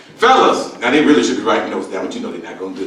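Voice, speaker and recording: Over noticeable background noise and audible room echo, a man speaks in an animated tone. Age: 60s. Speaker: comedian. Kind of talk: stand-up.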